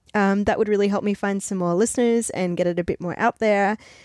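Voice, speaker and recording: A woman talks at a fairly quick pace in a normal speaking voice, her pitch medium. The sound is dry and close, with no echo. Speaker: podcast host. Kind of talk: casual interview chat.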